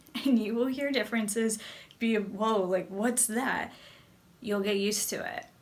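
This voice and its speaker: A woman with an American accent, fairly high pitch, ordinary pitch variation and a fairly slow pace, amid noticeable background noise and audible room echo. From US, New Jersey. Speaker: English teacher and video creator. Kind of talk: educational talk to camera.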